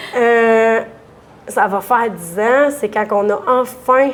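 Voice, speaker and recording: A woman speaks in an animated tone with a Quebec accent. Her pitch is fairly high. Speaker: dairy farmer. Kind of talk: interview. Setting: restaurant bar. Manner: loud.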